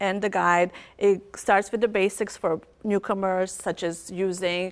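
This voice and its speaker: This is a woman speaking. She talks with a Bosnian accent. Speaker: author and academic advisor. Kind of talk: TV interview.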